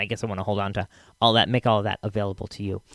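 A man with fairly low pitch sounds relaxed and enthusiastic. The recording is very clean, with a silent background and a dry, close sound with no echo. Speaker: podcast host. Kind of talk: casual, friendly podcast intro. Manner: relaxed, chatty, enthusiastic.

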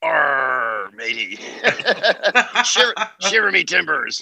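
A man puts on a character voice, fairly high in pitch, speaking at a very slow pace.

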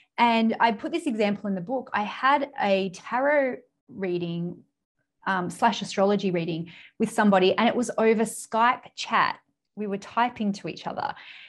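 Speaking with an Australian accent in a very clean recording with a silent background, a woman uses a fairly high pitch, a moderate pace, and ordinary pitch variation. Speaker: business mentor and author. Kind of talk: interview.

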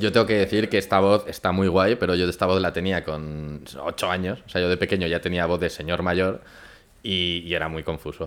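At a moderate pace, a man talks with fairly even intonation and a very deep, low pitch. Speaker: podcast co-host. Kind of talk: casual chat over wine tasting. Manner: loud.

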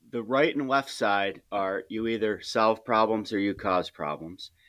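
In a very clean recording with a silent background, a man talks fairly slowly at a fairly low pitch, with ordinary pitch variation and a plain, everyday voice. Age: 40s. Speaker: high school teacher and coach. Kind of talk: casual interview.

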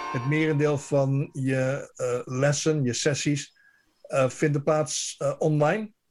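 Music plays in the background as a man speaks at a very slow pace. His voice is fairly high, with fairly even intonation. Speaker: radio correspondent. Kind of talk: radio interview.

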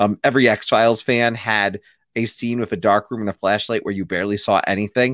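Recorded very cleanly with a silent background, a man with an unremarkable speaking voice and a fairly low pitch talks at a fairly quick pace, the sound dry and close with no echo. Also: fairly even intonation. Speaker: podcast host. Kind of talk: casual chat.

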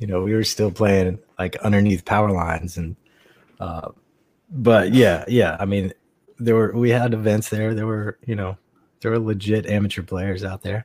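In an American accent, a man with fairly low pitch talks at a moderate pace with fairly even intonation and an unremarkable speaking voice. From North Carolina (Raleigh, Greensboro). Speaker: veteran paintball player. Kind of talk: casual chat.

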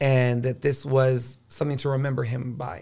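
His voice, a man's at medium pitch, sounds somewhat breathy. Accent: American. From Corpus Christi, Texas. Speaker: drag queen. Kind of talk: casual chat.

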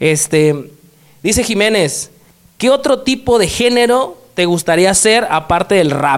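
A high-pitched male voice with very wide pitch swings at a fairly slow pace. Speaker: podcast host. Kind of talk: casual interview.

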